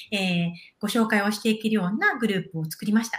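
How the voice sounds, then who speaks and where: Against noticeable background noise, a woman talks at a fairly quick pace with a medium pitch. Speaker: intercultural exchange project director. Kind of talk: interview conversation. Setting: live video stream.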